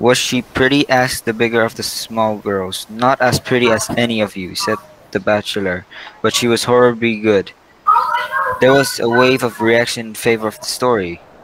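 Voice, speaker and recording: Medium pitch and a moderate pace from a male speaker, noticeable background noise behind him. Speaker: student presenter. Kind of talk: reading aloud a bedtime story in a class presentation. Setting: classroom presentation.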